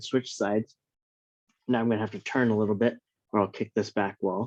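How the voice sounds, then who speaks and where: Soft-spoken man, fairly low-pitched, monotone and flat, fairly quick pace with long, frequent pauses, dry close sound with no echo. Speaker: fitness instructor. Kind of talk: live online workout class. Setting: at home.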